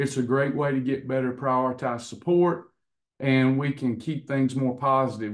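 The background is quiet. A man does the talking. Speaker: coach hosting online class. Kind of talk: casual talk to class. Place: office. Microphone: video call.

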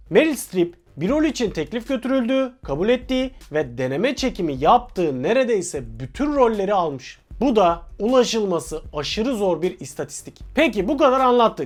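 Very wide pitch swings mark a man's high voice at a moderate pace, with hardly any pauses. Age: 30s. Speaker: film channel presenter. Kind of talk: scripted narration.

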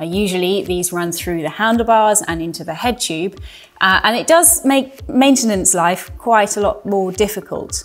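A woman speaks at a moderate pace. Lively intonation runs through her words. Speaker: presenter. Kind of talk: presenter talk to camera. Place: studio.

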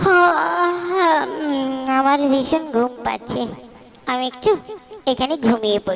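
A woman in a cartoonish character voice speaks very slowly at a high pitch, swinging very widely in pitch. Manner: scolding, brisk.

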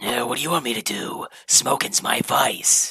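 This cartoonish character voice is raspy, sitting at a low-to-middle pitch and moving at a moderate pace. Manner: gruff, irritable.

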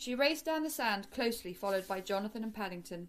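Lively intonation runs through the speech. It is a natural reading voice.

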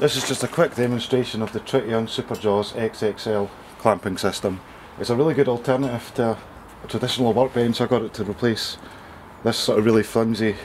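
A man with a Scottish accent at a fairly quick pace, his intonation fairly even, light background noise present. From Scotland. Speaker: amateur woodworker. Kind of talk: casual tool demonstration. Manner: casual, quick. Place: garden. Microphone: camera far.

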